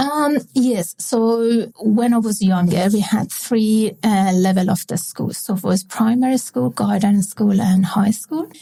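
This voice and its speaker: A woman with a Persian accent speaks at a fairly slow pace, her medium-pitched voice dark, mellow and somewhat breathy, with ordinary pitch variation. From Iran. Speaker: industrial chemist. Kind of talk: interview. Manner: halting, many fillers.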